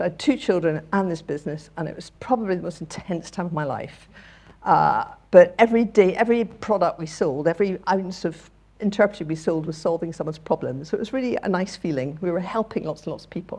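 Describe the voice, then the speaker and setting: A woman talks at a very fast pace with a Scottish accent and a fairly low pitch. Her dark, mellow tone shows ordinary pitch variation and big swings in loudness. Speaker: charity chief executive. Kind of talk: talk to audience. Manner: animated.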